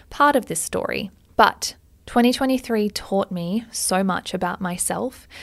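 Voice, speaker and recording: In a very clean recording with a silent background, a woman speaks in an animated, upbeat tone with ordinary pitch variation. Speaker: podcast host. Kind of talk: pep talk. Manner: animated, upbeat and motivational; emphatic, tough-love.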